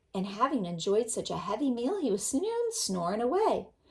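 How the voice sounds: Someone reading in a natural voice.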